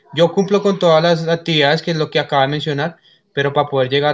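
A man talks at a fairly high pitch. His pitch varies in an ordinary way. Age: 20s. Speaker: student; candidate. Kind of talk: mock job interview; interview answer. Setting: video call. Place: home room. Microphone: video call.

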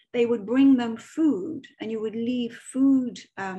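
The voice carries a Dublin accent and a dark, mellow, somewhat breathy tone. It goes at a fairly slow pace over a quiet background. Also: woman. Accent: Irish (Dublin). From Ireland, Dublin. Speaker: medium and author giving a talk. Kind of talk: online presentation with slides. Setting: video call. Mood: relaxed storytelling. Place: home room. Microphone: webcam.

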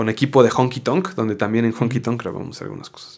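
A man talking at a very fast pace over a quiet background. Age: 30s. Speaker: actor, voice actor and former band singer; actor, voice actor. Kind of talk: interview conversation. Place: studio. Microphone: studio mic.

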